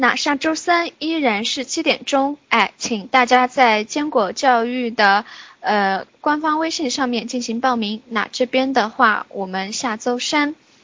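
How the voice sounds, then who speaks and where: Speaking at a very slow pace with hardly any pauses, a woman uses a high pitch with ordinary variation over noticeable background noise. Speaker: online class coordinator. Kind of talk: class wrap-up announcement. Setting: office, online class. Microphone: very quiet.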